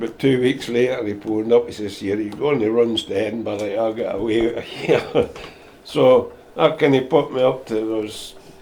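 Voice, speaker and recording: The speech runs at a moderate pace with fairly even intonation against noticeable background noise. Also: man. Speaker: volunteer patient transport driver. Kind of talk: interview answer.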